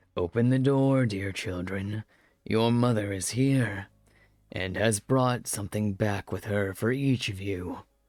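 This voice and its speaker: This is a put-on character voice. The man performing it has a fairly low pitch. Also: fairly slow pace. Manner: feigning sweetness.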